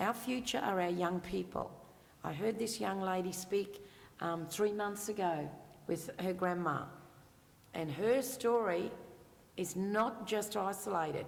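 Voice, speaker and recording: Speaking with an Australian accent at medium pitch, a woman leaves long, frequent pauses, with ordinary pitch variation and audible room echo. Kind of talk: panel Q&A answer.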